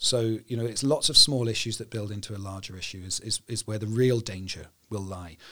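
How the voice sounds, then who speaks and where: Here a man's voice has a bright, sharp tone. His pitch is fairly low with ordinary variation. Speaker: cybersecurity company founder. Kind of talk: interview. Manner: hesitant with many fillers.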